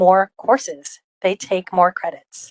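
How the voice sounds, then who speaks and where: A woman with a Rhode Island accent speaks at medium pitch with fairly even intonation, in a dry, close sound with no echo. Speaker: college open education program leader. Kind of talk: conference presentation. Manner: frequent filler ums.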